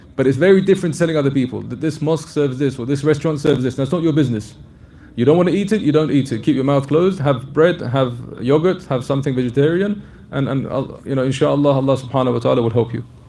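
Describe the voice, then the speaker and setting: A man with a fairly high pitch and a dark, mellow tone talks at a very fast pace, somewhat breathy, with ordinary pitch variation and audible room echo. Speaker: Islamic scholar answering questions. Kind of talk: religious lecture Q&A.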